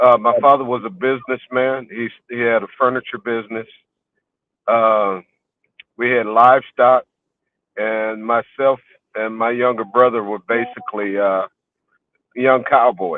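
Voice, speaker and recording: A man's medium-pitched voice, fairly slow and fairly even, with long, frequent pauses. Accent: American. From Houston, Texas. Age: 60s. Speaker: scholar and author. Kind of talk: life story interview. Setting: in a car, remote call. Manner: halting, many fillers and repeats.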